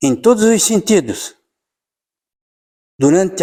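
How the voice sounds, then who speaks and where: A man speaks at a fairly slow pace in a dark, mellow tone. His pitch swings very widely, and the recording is very clean with a silent background. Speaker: spiritist lecturer. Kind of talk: religious lecture.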